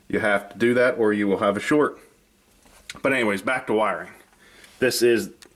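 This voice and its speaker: At a fairly quick pace broken by long, frequent pauses, a man talks at medium pitch with ordinary pitch variation. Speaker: model railroad hobbyist YouTuber. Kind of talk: tutorial. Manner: fast; casual, with fillers.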